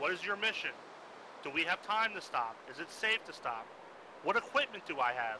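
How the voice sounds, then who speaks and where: Amid noticeable background noise, a man with a high pitch makes very wide pitch swings and takes long, frequent pauses. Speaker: military convoy instructor. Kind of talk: lecture. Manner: fast.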